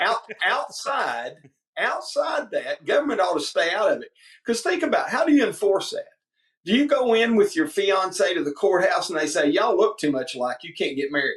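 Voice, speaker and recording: Here a man speaks with a Southern US accent. His pace is moderate. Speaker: politician, state representative running for governor. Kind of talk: interview. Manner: animated storytelling.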